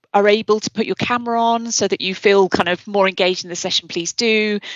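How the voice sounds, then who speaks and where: Fairly quick speech from a woman in a British accent. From Britain. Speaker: publishing executive. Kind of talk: webinar presentation.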